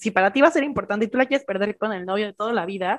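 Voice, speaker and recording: A woman with a Mexican accent and a fairly high pitch. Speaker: podcast co-host. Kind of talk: casual chat.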